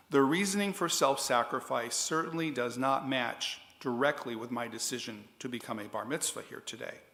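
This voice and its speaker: There is audible room echo as a man with a bright, sharp tone speaks at medium pitch, using ordinary pitch variation and hardly any pauses. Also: moderate pace. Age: 60s. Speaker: adult bar mitzvah candidate. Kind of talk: prepared speech to congregation.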